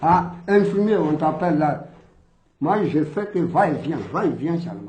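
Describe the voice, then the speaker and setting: In a room with audible echo, a man speaks at a high pitch and a fairly slow pace. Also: ordinary pitch variation. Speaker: colonial war veteran. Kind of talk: testimony. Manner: loud.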